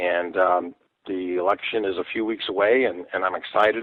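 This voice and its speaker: This man has a fairly low pitch. His intonation stays fairly even. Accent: American. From US Midwest, Dayton area Ohio. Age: 60s. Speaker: political candidate, retired sheriff's deputy. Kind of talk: radio interview. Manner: hesitant, frequent fillers.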